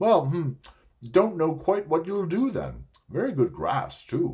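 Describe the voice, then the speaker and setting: In a put-on character voice, a man speaks at a high pitch and a fairly slow pace. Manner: mouth full, chewing while talking.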